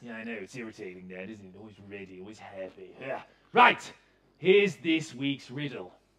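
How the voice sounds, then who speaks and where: This put-on character voice swoops through very wide pitch swings. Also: man. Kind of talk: pantomime villain comic acting. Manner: sneering, sarcastic.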